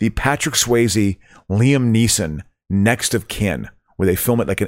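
Heard in a very clean recording with a silent background, a man speaks in an ordinary speaking voice at a medium pitch and moderate pace, with ordinary pitch variation. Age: 50s. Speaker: comedian. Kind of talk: casual chat.

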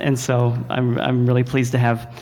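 Over noticeable background noise and audible room echo, a man with an American accent talks at a medium pitch. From Texas. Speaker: film and TV composer. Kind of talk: panel talk at a luncheon. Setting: jazz club stage with audience.

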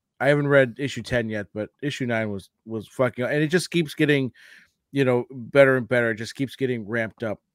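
A man with an unremarkable speaking voice talks at a fairly quick pace in a medium pitch, with ordinary pitch variation and a dry, close sound with no echo. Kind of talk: radio DJ patter, showy podcast intro.

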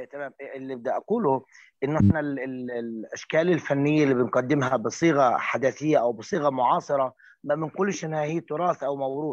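An unremarkable speaking voice from a man, fairly high in pitch, ordinary pitch variation, moderate pace, quiet background. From rural Palestine. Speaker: storyteller. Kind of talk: panel discussion.

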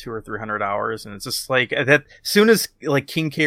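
A man's bright, sharp tone comes through dry and close with no echo on a very clean recording with a silent background. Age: 30s. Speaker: podcast co-host. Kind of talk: casual chat.

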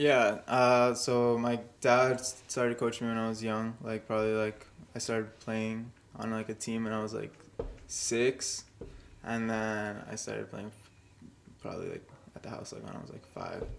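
A man speaks at a medium pitch and a moderate pace, his intonation monotone and flat. His loudness swings widely, and he leaves long, frequent pauses. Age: 20s. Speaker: college soccer player. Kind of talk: casual chat.

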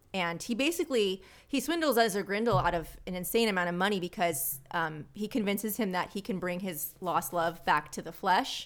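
In a very clean recording with a silent background, a woman with an unremarkable speaking voice talks with lively intonation and hardly any pauses. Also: medium pitch for a woman, fairly quick pace. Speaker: podcaster and pinup model. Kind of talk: casual chat.

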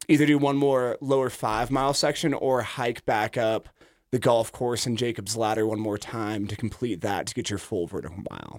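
On a very clean recording with a silent background, a man speaks in a plain, everyday voice with an American accent. His pitch is medium with ordinary variation, and his pace is moderate. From Idaho. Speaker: kayak club director. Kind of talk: casual radio interview. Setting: radio studio.

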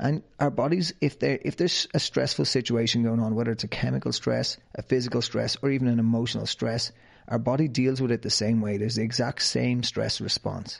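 The speaker has an Irish accent. The pace is fairly quick. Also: man. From Ireland, County Wicklow. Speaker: fitness trainer and podcast host. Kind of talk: interview, answering questions.

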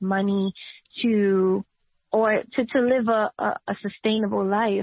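A woman's fairly high voice moves at a very slow pace with fairly even intonation. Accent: New York. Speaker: political candidate and nurse. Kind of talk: interview.

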